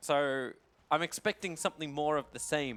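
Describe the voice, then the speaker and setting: Recorded very cleanly with a silent background, a man speaks at a fairly high pitch with an Australian accent. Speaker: esports commentator. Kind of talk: live commentary. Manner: animated.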